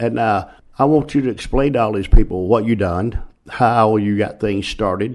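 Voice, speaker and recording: Over a quiet background, a man with an American accent uses an ordinary speaking voice, fairly low in pitch, with ordinary pitch variation at a moderate pace. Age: 60s. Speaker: retired pro wrestler, podcast co-host. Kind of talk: casual chat.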